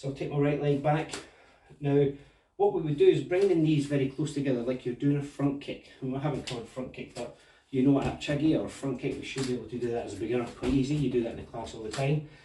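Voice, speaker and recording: A man's fairly high voice at a very fast pace, with fairly even intonation and big swings in loudness. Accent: Scottish. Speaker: martial arts instructor. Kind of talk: tutorial. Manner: casual.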